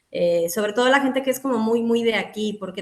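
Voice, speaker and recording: Noticeable noise sits behind a female speaker whose pitch varies in an ordinary way. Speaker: psychologist. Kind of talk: casual interview chat.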